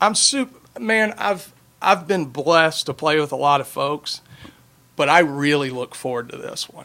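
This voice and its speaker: A man at a moderate pace, bright and sharp in tone, with lively intonation. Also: fairly high pitch for a man, big swings in loudness. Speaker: bass player. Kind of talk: casual chat. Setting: studio. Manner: loud.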